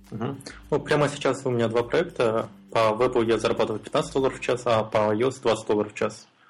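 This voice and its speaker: In a plain, everyday voice, a man speaks fairly quickly at a medium pitch, with fairly even intonation and very even loudness. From Kazakhstan, Almaty. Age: 20s. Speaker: freelance mobile and web developer. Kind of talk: casual interview.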